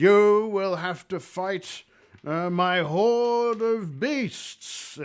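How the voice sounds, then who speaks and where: Putting on a character voice, a man speaks very slowly in a high pitch. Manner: menacing, commanding.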